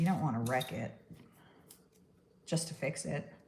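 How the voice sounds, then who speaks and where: Her tone is dark and mellow, and this woman's voice carries vocal fry. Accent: American. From New York. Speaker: stop-motion artist. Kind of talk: live-stream crafting tutorial. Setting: live stream. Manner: casual, chatty.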